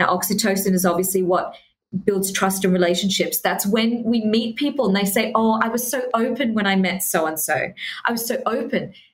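Recorded with audible room echo, a woman talks at a fairly quick pace in a medium pitch, somewhat breathy, with very even loudness and ordinary pitch variation. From Australia. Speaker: human connection specialist. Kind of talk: interview.

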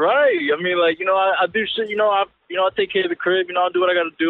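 A man with an American accent speaks at a very fast pace, high-pitched, with ordinary pitch variation. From Pennsylvania. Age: 20s. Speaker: caller. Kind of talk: casual chat. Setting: phone call.

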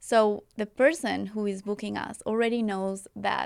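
With a Spanish accent, a woman of medium pitch talks at a fairly slow pace and with fairly even intonation, in a very clean, dry, close recording with a silent background and no echo. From Colombia. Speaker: wedding filmmaker. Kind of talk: casual interview. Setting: studio.

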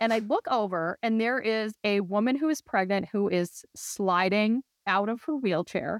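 With a Minnesotan accent, a woman of fairly high pitch speaks at a moderate pace with ordinary pitch variation and very even loudness. There are hardly any pauses, and the sound is dry and close with no echo. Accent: mild Minnesotan. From US Midwest. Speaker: family medicine doctor. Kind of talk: casual chat. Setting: video call.

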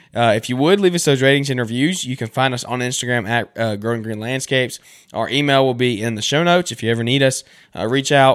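A man with a Southern US accent talks at a very fast pace. His pitch is medium, with ordinary variation. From US South. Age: 20s. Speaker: podcast host and lawn care business owner. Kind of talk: casual interview. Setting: remote call.

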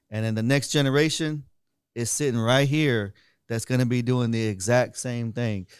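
A man with a normal speaking voice talks at a medium pitch and moderate pace, his intonation fairly even, on a very clean recording with a silent background. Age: 30s. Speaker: podcast host. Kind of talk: casual interview.

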